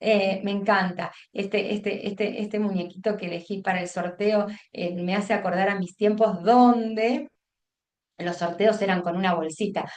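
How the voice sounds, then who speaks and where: A woman's voice at a medium pitch, with ordinary pitch variation. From Buenos Aires province, Argentina. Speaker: teacher trainer, education consultant. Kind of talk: online workshop lecture. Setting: video call. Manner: fast; halting, many fillers and restarts.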